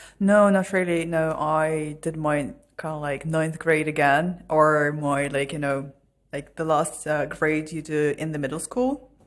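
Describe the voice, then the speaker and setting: The speaker has a slight Irish accent. The pace is fairly slow. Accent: Irish-tinged English. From Russia. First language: Russian. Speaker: podcast guest. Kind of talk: casual interview chat.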